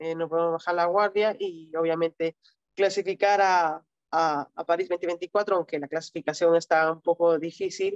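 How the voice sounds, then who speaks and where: A monotone, flat delivery at a moderate pace, dry and close with no echo. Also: woman, fairly low pitch for a woman. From Peru. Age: 30s. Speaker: para-badminton athlete. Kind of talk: interview. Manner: halting.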